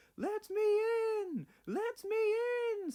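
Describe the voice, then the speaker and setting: An extremely high-pitched, put-on character voice. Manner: spooky.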